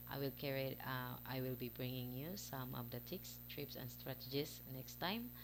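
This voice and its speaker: A woman with a Visayan accent, at a moderate pace. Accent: Filipino (Bisaya) accent in English. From Philippines, Visayas. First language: Cebuano (Bisaya). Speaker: parent vlogger. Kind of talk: casual vlog talk to camera. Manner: halting, many fillers.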